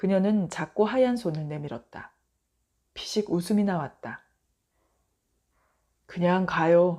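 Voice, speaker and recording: This woman's voice sits fairly low, with a dark, mellow tone. She talks at a very slow pace. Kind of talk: audiobook short story reading. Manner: soft, bedtime reading.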